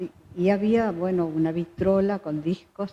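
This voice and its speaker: A woman speaks at a fairly low pitch and a fairly slow pace, with fairly even intonation. There is noticeable background noise. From Uruguay, Salto. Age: 80s+. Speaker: choir director. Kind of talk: interview.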